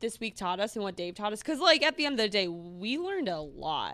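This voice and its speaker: A woman's unremarkable speaking voice, fairly high-pitched, with lively intonation at a moderate pace, in a very clean recording over a silent background. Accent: American. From Minnesota. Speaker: pop culture podcast host. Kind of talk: casual chat.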